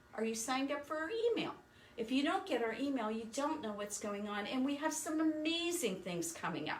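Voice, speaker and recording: Amid noticeable background noise and audible room echo, a woman with a high pitch talks at a fairly quick pace with very wide pitch swings. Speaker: sewing machine store owner. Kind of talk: live stream sales talk.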